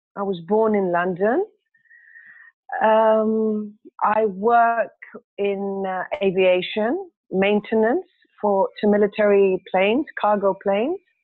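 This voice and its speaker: Speaking at a very slow pace, a woman uses a medium pitch and fairly even intonation, leaving long, frequent pauses. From Greece. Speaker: course participant. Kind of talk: self-introduction in online class. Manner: hesitant, many fillers.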